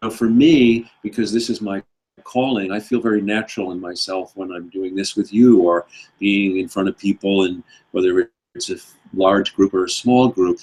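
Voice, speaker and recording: In an ordinary speaking voice, a man talks at a moderate pace with fairly low pitch and fairly even intonation, the sound dry and close with no echo. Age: 60s. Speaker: author and speaker. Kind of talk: interview. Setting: live stream.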